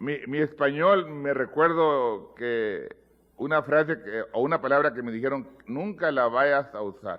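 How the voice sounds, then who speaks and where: Here a man talks at a fairly slow pace. His pitch is fairly high, with ordinary variation. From US, Mexican American (pocho). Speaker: pastor. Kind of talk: sermon. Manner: halting, repeats words.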